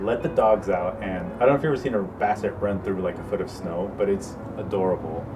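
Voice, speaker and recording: A man talks very fast at a fairly low pitch with very wide pitch swings, amid noticeable background noise and audible room echo. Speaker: groom-to-be in couple interview. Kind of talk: interview, personal storytelling.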